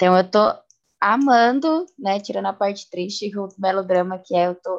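A woman uses an ordinary speaking voice at a moderate pace. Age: 20s. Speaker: podcast co-host. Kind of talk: casual chat.

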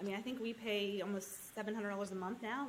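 A woman's medium-pitched voice amid noticeable background noise. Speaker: land investor, mother. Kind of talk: casual interview chat.

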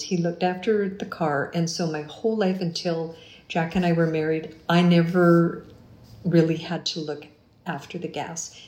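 A woman with a Canadian accent speaks at a moderate pace in a dark, mellow, somewhat breathy tone of fairly low pitch, with audible room echo. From Canada, Winnipeg. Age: 50s. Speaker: retired teacher and musician. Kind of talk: interview.

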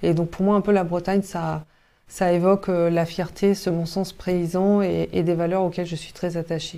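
At a moderate pace, a woman speaks in a fairly low pitch with a dark, mellow tone and monotone, flat intonation. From Brittany, Côtes-d'Armor near Cap Fréhel. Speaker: health tech company founder. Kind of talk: interview. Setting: company office. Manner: hesitant, many fillers.

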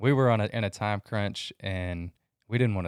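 In a very clean recording with a silent background and a dry, close sound with no echo, a man with a plain, everyday voice speaks at a moderate pace, pitched fairly low, with ordinary pitch variation. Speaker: reseller podcaster. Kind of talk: casual chat.

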